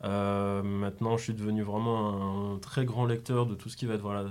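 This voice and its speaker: A man at a medium pitch talks at a moderate pace in a monotone, flat intonation. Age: 20s. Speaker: graphic designer and clothing brand co-founder. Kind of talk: casual interview.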